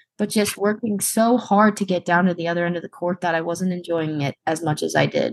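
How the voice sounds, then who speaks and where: Against a quiet background, a woman at medium pitch speaks in an unremarkable speaking voice with ordinary pitch variation. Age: 20s. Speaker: wheelchair basketball player and college student. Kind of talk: interview.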